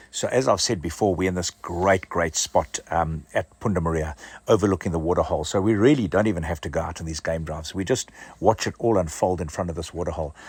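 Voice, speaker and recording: A man speaks very fast in a very deep, low voice that is somewhat breathy, with ordinary pitch variation. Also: very clean recording, silent background. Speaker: overland travel vlogger. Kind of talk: casual travel vlog narration. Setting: outdoors.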